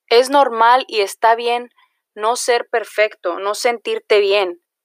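Recorded dry and close with no echo, a woman speaks at a fairly high pitch with ordinary pitch variation. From Mexico, Jalisco. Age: 20s. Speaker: podcaster. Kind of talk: casual monologue.

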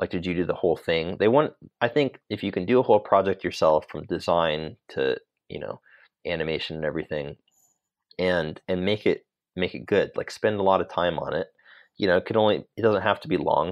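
Fairly quick in pace, a man with an American accent speaks at a very deep, low pitch. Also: ordinary pitch variation. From California, Sacramento. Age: 30s. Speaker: motion designer. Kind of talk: interview.

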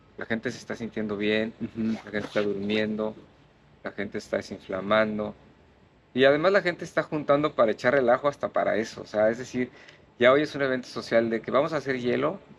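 A man with a normal speaking voice talks at a fairly quick pace, medium pitch and ordinary pitch variation. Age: 60s. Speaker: ice bath and breathwork instructor. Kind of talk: casual interview.

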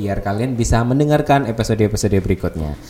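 Clearly audible background noise behind a male voice with normal pitch movement. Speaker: school radio host. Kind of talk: casual radio chat.

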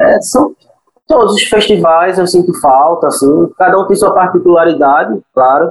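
A man talks at a high pitch with lively intonation. His pace is moderate and his loudness very even. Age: 20s. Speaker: cinema projectionist. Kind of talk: interview. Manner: halting.

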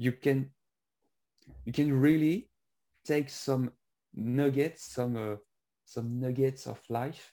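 A man with a French accent speaks very slowly in a dark, mellow tone, with ordinary pitch variation. The recording is very clean, with a silent background. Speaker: podcast interviewer. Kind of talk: casual interview. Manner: halting.

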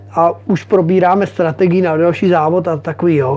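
With noticeable background noise behind him, a man with a high pitch talks at a moderate pace with fairly even intonation. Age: 40s. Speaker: motocross racer. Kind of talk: interview. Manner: casual, hesitant with fillers.

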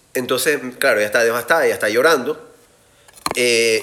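Moderate-paced male speech against noticeable background noise. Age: 40s. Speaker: podcast host and life coach. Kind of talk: casual live talk.

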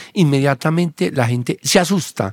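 With a plain, everyday voice, a man speaks at a fairly slow pace and with ordinary pitch variation. The sound is dry and close with no echo, in a very clean recording with a silent background. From Colombia, Antioquia (Abejorral). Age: 50s. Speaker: psychiatrist. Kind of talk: interview conversation.

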